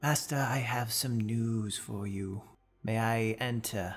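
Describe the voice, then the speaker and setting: A man puts on a character voice at medium pitch with fairly even intonation. He goes at a fairly slow pace over faint music in the background. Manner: droll, sinister.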